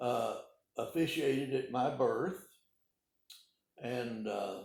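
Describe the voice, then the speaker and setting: With an American accent, a man talks very slowly amid audible room echo. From Arkansas (Calico Rock, Ozarks). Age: 80s+. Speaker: retired pharmacist. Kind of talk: oral history interview. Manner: halting, many hesitations.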